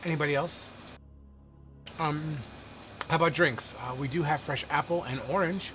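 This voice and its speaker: A man's put-on character voice, raspy and fairly high-pitched, at a moderate pace with long, frequent pauses over clear background noise. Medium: actual play. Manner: polite, attentive.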